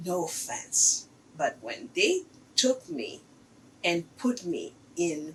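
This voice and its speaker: A woman speaks with very wide pitch swings. Vocal fry runs through her voice. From Haiti. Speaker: artist. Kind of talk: interview.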